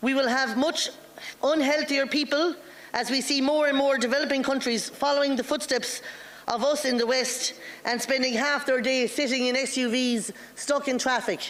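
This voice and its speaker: Over noticeable background noise, a woman with an Irish accent speaks at a moderate pace in a high voice, her loudness very even and her intonation fairly even. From Ireland. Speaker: politician. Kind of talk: formal speech. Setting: parliamentary assembly floor.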